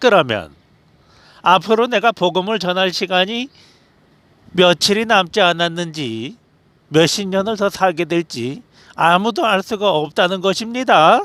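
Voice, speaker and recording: On a very clean recording with a silent background, a man with a high-pitched, bright, sharp tone and lively intonation speaks fairly slowly, leaving long, frequent pauses. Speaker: religious youtuber. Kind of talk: sermon-style monologue. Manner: emphatic, declarative.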